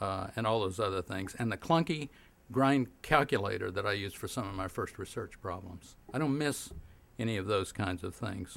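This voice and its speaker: On a very clean recording with a silent background, a man with an American accent speaks in an ordinary speaking voice, his fairly low pitch showing ordinary pitch variation. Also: moderate pace. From Oklahoma. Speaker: physicist and science policy professor. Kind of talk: keynote speech.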